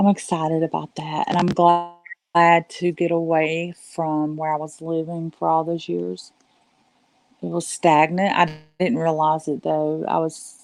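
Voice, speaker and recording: A woman talks in a Southern US accent at a fairly slow pace. Her fairly low voice holds a monotone, flat intonation. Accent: very Southern. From US South, western North Carolina Appalachians. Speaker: live streamer. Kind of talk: casual chat. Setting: live stream at home. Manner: softer than usual.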